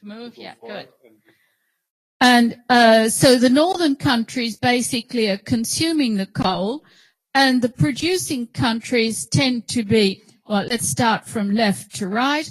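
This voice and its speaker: With an Australian accent and lively intonation, the speaker goes at a very slow pace with big swings in loudness, in a dry, close sound with no echo on a very clean recording with a silent background. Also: woman, fairly high pitch for a woman. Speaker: professor. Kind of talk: lecture. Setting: auditorium with audience.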